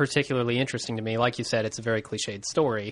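This is a man speaking. The background is quiet. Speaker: podcast host. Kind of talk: casual chat.

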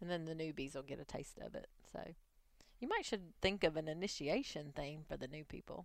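Talking at a fairly quick pace, a woman has a very deep, low-pitched voice. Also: ordinary pitch variation. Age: 40s. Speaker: podcast host. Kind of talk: casual chat. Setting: studio.

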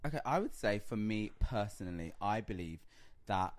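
A man speaks with a London accent on a very clean recording with a silent background. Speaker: reality TV personality. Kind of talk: casual chat.

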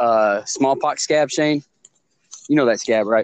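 A man speaks at a fairly high pitch and fairly slow pace with ordinary pitch variation, captured dry and close with no echo. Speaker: podcast co-host. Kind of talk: casual chat. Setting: phone call. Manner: loud; animated.

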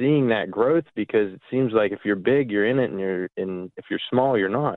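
An ordinary speaking voice, a man at medium pitch with an American accent. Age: 20s. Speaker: farmer. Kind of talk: phone-in call.

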